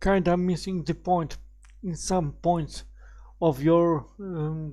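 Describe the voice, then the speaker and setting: Speaking very slowly with a non-native accent, a man has a dark, mellow tone and a high pitch, on a very clean recording with a silent background. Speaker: YouTuber. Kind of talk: video reaction commentary. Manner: halting. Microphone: cheap crappy mic, raw unprocessed sound.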